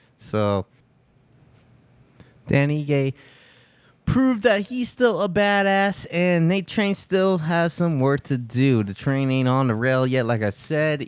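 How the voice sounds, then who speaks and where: On a very clean recording with a silent background, a man with a fairly high pitch speaks very slowly, with long, frequent pauses and very wide pitch swings. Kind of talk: casual podcast talk. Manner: upbeat.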